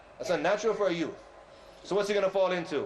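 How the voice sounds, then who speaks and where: A man with an American accent talking at a very fast pace, with audible room echo and noticeable background noise. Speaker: Islamic preacher. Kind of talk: religious lecture. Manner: loud; animated.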